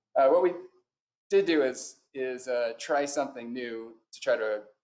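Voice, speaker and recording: A man at a fairly slow pace with an American accent. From US West Coast, San Francisco Bay Area. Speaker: high school English teacher. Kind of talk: conference presentation. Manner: halting, many fillers.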